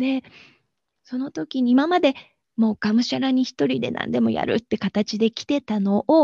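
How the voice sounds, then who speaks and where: The voice has a dark, mellow tone, somewhat breathy, swinging very widely in pitch at a moderate pace, with a dry, close sound and no echo. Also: woman. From Japan, Aichi. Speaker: bridal florist and energy healer. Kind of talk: interview.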